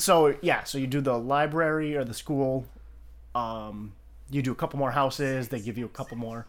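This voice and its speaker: In a very clean recording with a silent background, a man with a normal speaking voice talks at a moderate pace and medium pitch, his pitch varying in an ordinary way. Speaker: podcast host. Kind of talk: casual chat.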